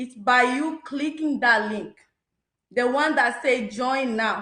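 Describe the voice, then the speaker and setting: Speaking at a fairly slow pace, a woman uses a high pitch, a bright, sharp tone and lively intonation. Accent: non-native. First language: not English. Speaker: business testimonial speaker. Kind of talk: testimony.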